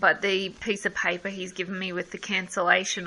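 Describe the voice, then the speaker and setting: A woman with a strong Australian accent speaks at a medium pitch in a monotone, flat intonation. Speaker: customer complaining about service. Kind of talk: phone call with customer service.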